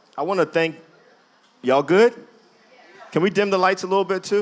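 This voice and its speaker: Over crowd noise in the background, a man speaks in an animated tone with an American accent. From New Jersey (Jersey City). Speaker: speaker and activist. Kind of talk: public talk to audience. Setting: museum event with live audience.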